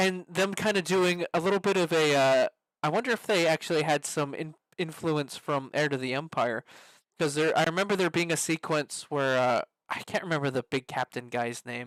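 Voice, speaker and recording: Recorded very cleanly with a silent background and a dry, close sound with no echo, a man with an ordinary speaking voice speaks in a fairly high pitch at a moderate pace with ordinary pitch variation. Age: 20s. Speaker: podcast host. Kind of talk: casual chat.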